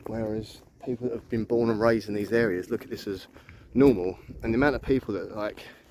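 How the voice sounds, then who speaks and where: Mumbling at a very fast pace, a man with a London accent speaks at a medium pitch. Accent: London accent, drops H's. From southeast London. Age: 40s. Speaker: vlogger. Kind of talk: casual walking vlog. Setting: outdoors. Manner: rambling, mumbling.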